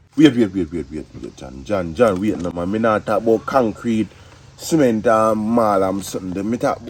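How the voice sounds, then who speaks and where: A man with a Jamaican accent, fairly low-pitched, at a moderate pace, with lively intonation and big swings in loudness. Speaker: interviewer in comedy skit. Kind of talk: comedy skit dialogue.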